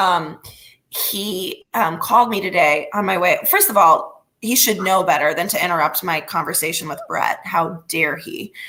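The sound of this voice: A woman's raspy, put-on character voice, medium in pitch, at a moderate pace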